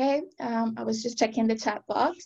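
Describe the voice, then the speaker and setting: A woman is speaking. The background is quiet. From Venezuela. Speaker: language teacher and researcher; language teacher. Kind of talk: webinar presentation. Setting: video call. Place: home room. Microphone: webcam.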